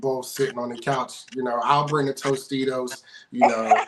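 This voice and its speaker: With noticeable noise behind him, a man keeps a moderate speed and medium pitch while his intonation stays fairly even. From Pittsburgh. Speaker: sports show host. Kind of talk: casual interview.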